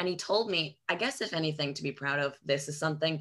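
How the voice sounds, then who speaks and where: Very deep, low speech from a woman, recorded very cleanly against a silent background. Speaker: podcast co-host and substitute teacher. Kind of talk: casual chat.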